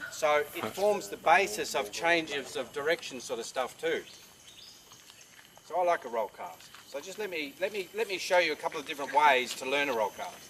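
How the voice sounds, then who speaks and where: A man's fairly high-pitched voice with lively intonation at a moderate pace, over noticeable background noise. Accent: Australian. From Tasmania, Australia. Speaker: fly casting instructor. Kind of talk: outdoor teaching demonstration.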